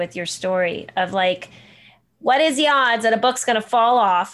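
A woman speaks at a moderate pace with lively intonation and a fairly high pitch. The recording is very clean, with a silent background. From New Jersey. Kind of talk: casual chat.

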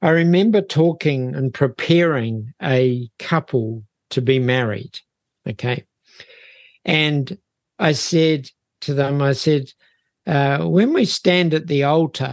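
A man with a New Zealand accent speaks very slowly at a fairly high pitch, leaving long, frequent pauses. The background is quiet. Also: ordinary pitch variation, dry, close sound with no echo. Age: 70s. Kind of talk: interview conversation. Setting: remote video call.

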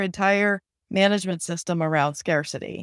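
Against a silent background in a very clean recording, a woman with an ordinary speaking voice speaks at medium pitch and a moderate pace, her intonation fairly even. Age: 50s. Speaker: startup founder and HR executive. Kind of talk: interview.

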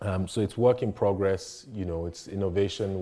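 The pace is moderate. Intonation remains fairly even. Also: man. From Nigeria. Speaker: architect. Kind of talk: panel talk. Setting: conference stage with audience.

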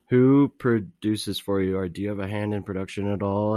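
An ordinary speaking voice from a man, fairly low in pitch, at a moderate pace, with a quiet background and a dry, close sound with no echo. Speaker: radio host. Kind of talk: casual interview.

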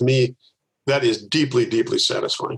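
A somewhat breathy man at a very fast pace, intonation fairly even. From US Midwest, Milwaukee, Wisconsin. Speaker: organizational consultant and author. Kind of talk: interview.

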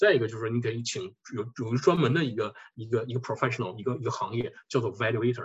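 A somewhat breathy man at a very fast pace. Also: medium pitch for a man, ordinary pitch variation. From northeast China (Harbin). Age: 40s. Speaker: tax accountant. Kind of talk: lecture.

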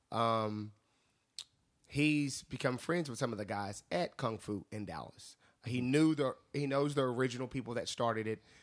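A man with an unremarkable speaking voice, medium in pitch, at a moderate pace with ordinary pitch variation. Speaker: bar door staff. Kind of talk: casual debate. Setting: studio.

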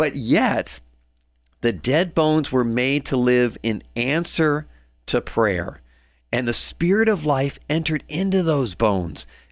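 In a very clean recording with a silent background, a man with an unremarkable speaking voice talks at a fairly slow pace, his fairly high pitch carrying lively intonation. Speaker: radio commentator. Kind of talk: scripture reading and reflective commentary.

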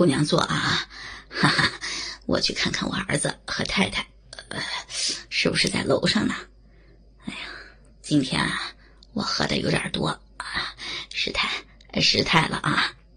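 A woman whispers fairly slowly, with long pauses that come often. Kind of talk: dramatic ASMR audio-drama narration. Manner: slow, intimate, theatrical, shifting between narrator and leering male character voices.

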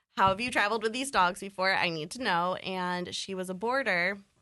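A woman with an American accent speaks at a medium pitch with a bright, sharp tone. Her intonation is fairly even, and the background is quiet. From Buffalo, New York. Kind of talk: casual chat.

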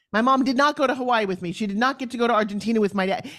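A woman in a New York accent talks at a very fast pace with an animated tone and ordinary pitch variation. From New York, Long Island. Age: 60s. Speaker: TV host, fitness entrepreneur and motivational speaker. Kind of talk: interview conversation. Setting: video call.

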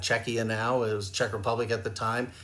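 A man speaks at a moderate pace and a medium pitch in an ordinary speaking voice. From Canada. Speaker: hockey goaltending scout. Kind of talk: casual chat.

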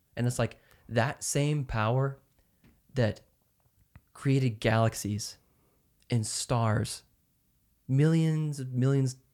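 In an American accent, a man speaks very slowly at a medium pitch on a very clean recording with a silent background. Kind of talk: casual faith discussion. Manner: animated.

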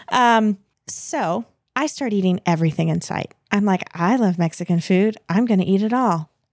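A woman with a normal speaking voice talks at a moderate pace with ordinary pitch variation, the sound dry and close with no echo. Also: medium pitch for a woman. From United States. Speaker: podcast guest. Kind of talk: storytelling in casual chat.

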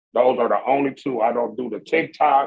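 A man speaks at a moderate pace and fairly high pitch in a plain, everyday voice. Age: 50s. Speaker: podcast co-host. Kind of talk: casual chat.

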